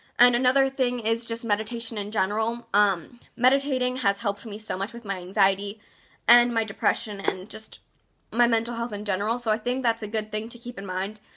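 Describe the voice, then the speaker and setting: A woman speaks fairly quickly in a fairly high voice with a bright, sharp tone and fairly even intonation. The recording is very clean, with a silent background. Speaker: vlogger. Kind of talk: casual advice vlog. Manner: fast; hesitant, many ums.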